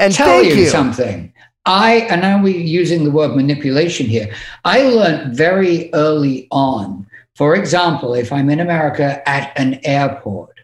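Here a man talks with an English accent at a fairly high pitch. His intonation is lively and his voice somewhat breathy. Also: moderate pace. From England. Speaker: podcast guest, music industry manager.

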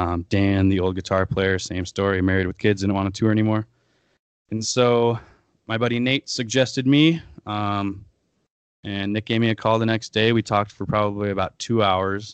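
A man with an American accent and a plain, everyday voice speaks at a fairly low pitch and a moderate pace, with fairly even intonation. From US Midwest, Aberdeen, South Dakota. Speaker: touring rock band musician. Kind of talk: podcast interview.

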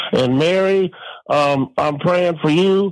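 This man talks at a moderate pace with ordinary pitch variation. He has a plain, everyday voice. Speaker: caller. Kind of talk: casual chat.

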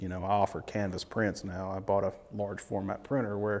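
Here a man speaks in a Tennessee accent at a moderate pace. His pitch is fairly low. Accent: Southern US (Tennessee). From eastern Tennessee. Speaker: fishing guide. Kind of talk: interview.

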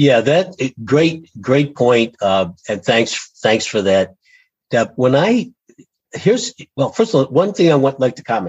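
With an American accent, a man speaks at a fairly slow pace, his pitch swinging very widely. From Western New York. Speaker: engineering business strategy consultant. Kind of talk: interview conversation.

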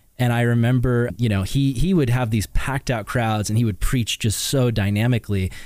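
A normal speaking voice in an American accent, fairly quick, with hardly any pauses, very even loudness and ordinary pitch variation. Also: man, medium pitch for a man. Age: 30s. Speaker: podcast host. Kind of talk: casual chat.

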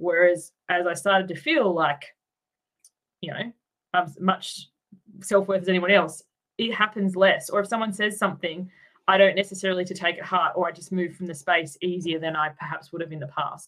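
At a moderate pace, a woman with an Australian accent speaks at a medium pitch with fairly even intonation and big swings in loudness. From Tasmania, Australia. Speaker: life coach. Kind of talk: interview.

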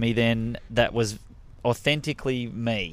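With an Australian accent, a man is speaking. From Melbourne, Australia. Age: 30s. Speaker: stand-up comedian. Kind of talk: casual interview chat. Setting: studio.

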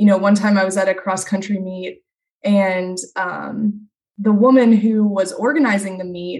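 A woman at medium pitch and moderate pace. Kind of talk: casual chat.

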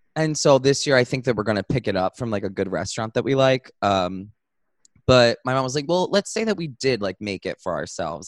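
With an animated tone and lively intonation, a medium-pitched man speaks at a fairly quick pace in a dry, close sound with no echo. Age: 20s. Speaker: podcast co-host. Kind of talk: casual chat.

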